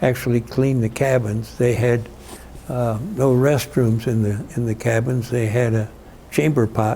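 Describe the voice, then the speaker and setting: Speaking at a fairly slow pace and medium pitch, a man keeps his intonation fairly even over noticeable background noise. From Illinois, US Midwest. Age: 80s+. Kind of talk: oral history interview answer. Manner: hesitant, reflective, many fillers.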